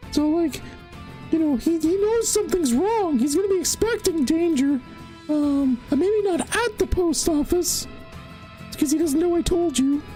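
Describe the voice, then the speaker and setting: Over clear background music, a put-on character voice speaks at a moderate pace. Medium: actual play. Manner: rambling, hesitant, filler-heavy.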